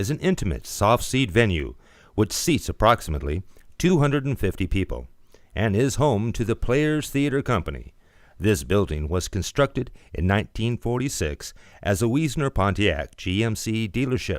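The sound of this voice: A man speaks at a moderate pace, his fairly low voice making big pitch swings. The recording is very clean, with a silent background.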